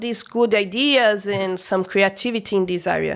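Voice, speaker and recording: The speaker has a Brazilian accent and ordinary pitch variation. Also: woman. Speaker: restaurant co-owner. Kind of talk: interview. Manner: halting.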